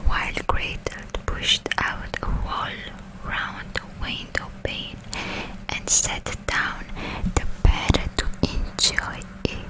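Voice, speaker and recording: Noticeable background noise fills the recording. Through it, a woman whispers very slowly. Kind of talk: whispered storybook reading for sleep. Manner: whispered, soft, close to the microphone.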